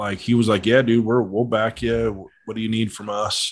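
Spoken at a moderate pace, a plain, everyday voice comes through with an American accent. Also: man. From Colorado. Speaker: model aircraft pilot. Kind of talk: casual chat.

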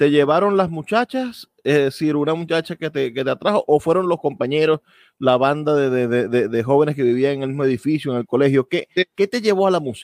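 Here a man with an unremarkable speaking voice and a fairly high pitch talks at a fairly quick pace with ordinary pitch variation, the sound dry and close with no echo. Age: 30s. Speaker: radio host. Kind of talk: radio interview.

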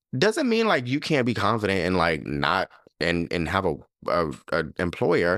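A man speaks with a very deep, low pitch at very even loudness. The recording is very clean, with a silent background. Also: lively intonation, moderate pace. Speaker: podcast host. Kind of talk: casual chat.

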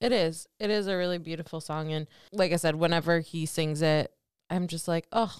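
A woman's plain, everyday voice, fairly low in pitch and fairly quick, with fairly even intonation, on a very clean recording with a silent background. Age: 30s. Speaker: podcast co-host, marketing professional. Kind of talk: casual chat.

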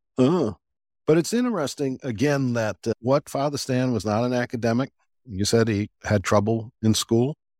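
An American-accented man with an unremarkable speaking voice talks at medium pitch and a moderate pace with ordinary pitch variation, in a dry, close sound with no echo on a very clean recording with a silent background. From US South. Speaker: podcast host and deacon. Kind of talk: casual interview chat.

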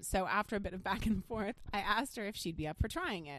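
A woman puts on a raspy character voice at a medium pitch. She talks very fast with lively intonation.

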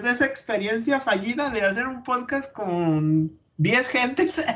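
A man is speaking. His pace is fairly slow. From Durango, Mexico. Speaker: podcaster. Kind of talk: casual chat.

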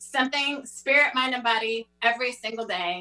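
A woman's high-pitched voice. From Europe. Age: 40s. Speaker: author and speaker. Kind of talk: panel discussion.

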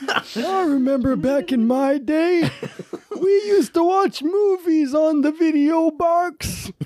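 Her pace is fairly slow. A woman performs a put-on character voice at an extremely high pitch. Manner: reminiscing, nostalgic.

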